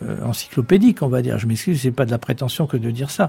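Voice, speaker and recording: Somewhat breathy with a dark, mellow tone, the voice moves at a fairly quick pace with lively intonation. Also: man. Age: 70s. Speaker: author. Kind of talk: interview. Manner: halting.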